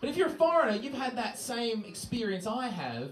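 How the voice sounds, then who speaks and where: Very wide pitch swings with an Australian accent at a moderate pace, plus noticeable background noise and audible room echo. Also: man. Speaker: stand-up comedian. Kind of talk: stand-up. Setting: stage with audience.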